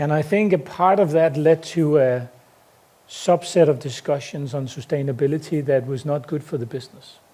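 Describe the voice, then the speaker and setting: Speaking at a moderate pace with a Danish accent, a man uses a dark, mellow tone, a fairly high pitch and ordinary pitch variation. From Denmark. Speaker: company CEO. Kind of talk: conference talk. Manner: hesitant, many fillers.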